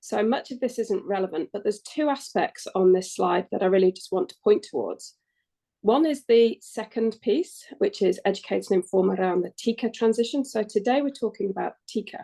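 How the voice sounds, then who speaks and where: The voice carries an English accent. Its tone is dark and mellow. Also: woman, fairly high pitch for a woman, lively intonation, moderate pace. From England. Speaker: climate action adviser. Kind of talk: workshop presentation. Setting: webinar.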